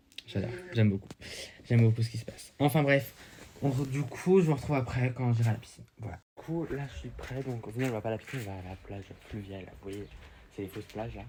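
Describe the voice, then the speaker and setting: A man with a dark, mellow tone and medium pitch races along at a very fast pace, breaking it with long, frequent pauses, his loudness swinging widely while his pitch varies in an ordinary way. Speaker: vlogger. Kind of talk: casual vlog. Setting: outdoors. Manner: hesitant.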